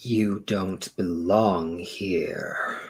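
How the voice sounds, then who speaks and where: Using a put-on character voice, a man speaks at a fairly low pitch with fairly even intonation. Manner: eerie, ominous.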